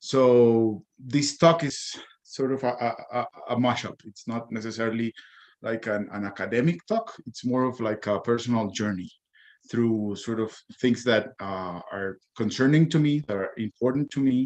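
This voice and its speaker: Speaking with a Spanish accent, a man with medium pitch keeps a moderate pace and ordinary pitch variation. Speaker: comics editor and cartoonist. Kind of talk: conference talk. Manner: halting, many fillers and repetitions.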